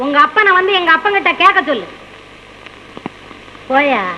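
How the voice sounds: A woman's put-on character voice at an extremely high pitch, bright and sharp in tone with lively intonation, over faint background noise. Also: moderate pace.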